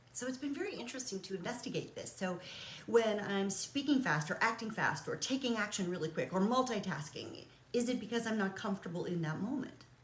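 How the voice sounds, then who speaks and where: Amid noticeable background noise and audible room echo, a woman talks at a fairly quick pace in a fairly high pitch, with lively intonation and an animated tone. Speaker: realtor and coach. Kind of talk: casual vlog monologue. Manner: fast.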